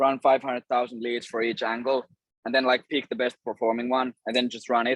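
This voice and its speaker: Here a man speaks with a Finnish accent at a fairly quick pace. His pitch sits in the medium range. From Finland. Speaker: cold email agency owner and course creator. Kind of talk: interview.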